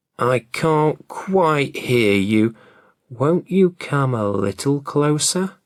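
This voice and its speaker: On a very clean recording with a silent background, a man does a put-on character voice at a fairly high pitch and a very slow pace. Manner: feigning frailty to lure.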